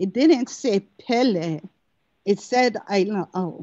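A woman with a Hawaiian accent, fairly high-pitched, at a very slow pace. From Hawaii, Lower Puna. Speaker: cultural practitioner. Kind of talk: testimony. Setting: video call. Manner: halting.

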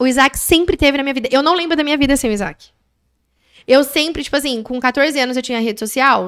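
Over a quiet background, a woman speaks at a fairly quick pace with a high pitch. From Brazil, Mogi das Cruzes; Brazil. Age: 20s. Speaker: manicurist and business owner; podcast guest. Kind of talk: interview storytelling. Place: studio. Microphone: studio mic.

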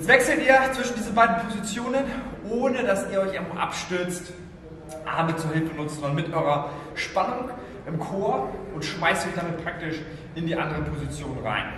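A man speaks at a moderate pace in a high voice, with long, frequent pauses. The room echo is audible and there's noticeable background noise. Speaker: fitness coach. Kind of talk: tutorial. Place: gym.

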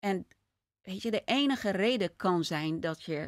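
A woman's lively intonation over a quiet background. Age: 50s. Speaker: podcast host. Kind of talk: interview. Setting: studio with couch. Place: home room. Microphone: studio mic.

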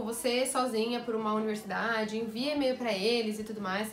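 Audible room echo and light background noise surround the recording. A woman speaks at a fairly quick pace. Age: 20s. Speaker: YouTuber and music teacher; YouTuber, music teacher. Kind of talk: casual vlog. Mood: lively, happy news. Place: home room.

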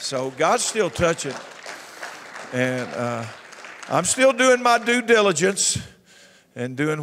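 Over crowd noise, a man with a Southern US accent speaks in an animated tone with very wide pitch swings. He goes at a fairly slow pace and leaves long, frequent pauses. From US South. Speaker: pastor. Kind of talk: church announcements. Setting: church. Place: church. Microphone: handheld.

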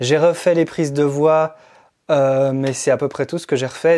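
Against a quiet background, a man speaks at a fairly high pitch in a dark, mellow tone. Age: 30s. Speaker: musician and music production teacher; music production teacher. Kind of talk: vlog monologue. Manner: halting. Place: studio. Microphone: lapel.

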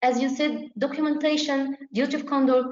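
Moderate pace in a space with audible room echo. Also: woman. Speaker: obstetrics exam tutor. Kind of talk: tutorial. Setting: video call. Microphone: video call.

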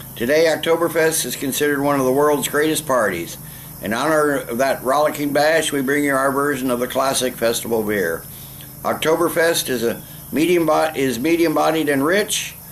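A man at a moderate pace with ordinary pitch variation, over light background noise. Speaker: beer reviewer. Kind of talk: casual vlog chat. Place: garden. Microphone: camera far.

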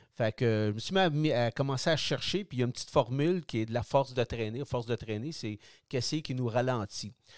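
Over a silent background in a very clean recording, a man speaks very fast in a Quebec accent. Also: medium pitch for a man, ordinary pitch variation. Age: 60s. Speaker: product designer, retired cyclist. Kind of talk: interview. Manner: halting.

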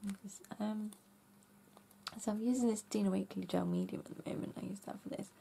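The speaker talks at a very fast pace but leaves long, frequent pauses. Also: woman. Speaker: craft YouTuber. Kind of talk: casual craft tutorial. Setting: home craft room.

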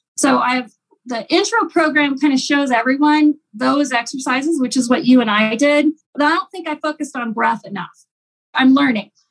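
A high-pitched woman with an American accent, with ordinary pitch variation. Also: moderate pace. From Ohio. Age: 50s. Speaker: yoga instructor and business owner. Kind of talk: interview; guided exercise. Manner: animated.

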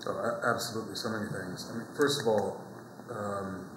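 A man at a moderate pace, fairly even intonation, noticeable background noise behind him. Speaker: actor being interviewed. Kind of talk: interview answer. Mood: warm, reflective, passionate. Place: hall. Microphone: lapel.

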